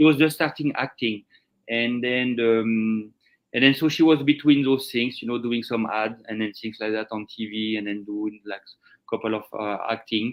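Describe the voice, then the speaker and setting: With a French accent, a man talks at medium pitch with fairly even intonation. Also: moderate pace. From France. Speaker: chef. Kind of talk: interview. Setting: live stream. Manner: halting.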